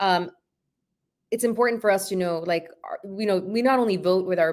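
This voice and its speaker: This woman speaks with a Spanish accent at a medium pitch. Her pace is fairly quick and her intonation fairly even. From Honduras. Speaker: activist and former school board member. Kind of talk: casual interview chat.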